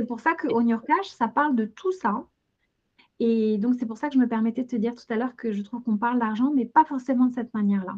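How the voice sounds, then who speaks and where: A woman with a high voice talks rather fast, her pitch shifting in a normal way. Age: 40s. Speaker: financial education entrepreneur. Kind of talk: interview. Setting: video call.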